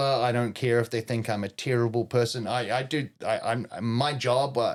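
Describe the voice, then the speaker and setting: On a very clean recording with a silent background, a man with a New Zealand accent speaks at a moderate pace and medium pitch. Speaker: professional wrestler and chef. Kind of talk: casual chat. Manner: loud.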